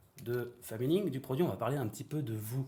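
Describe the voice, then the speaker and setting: A man with a dark, mellow tone and a somewhat breathy voice speaks at a moderate pace and medium pitch with lively intonation. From Normandy, France. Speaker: podcast host. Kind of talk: interview. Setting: outdoors by a river.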